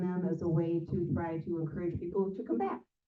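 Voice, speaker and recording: A woman speaks at a medium pitch. Room echo is audible. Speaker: local political club organizer. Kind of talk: club meeting announcements. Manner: fast; filler-heavy, casual.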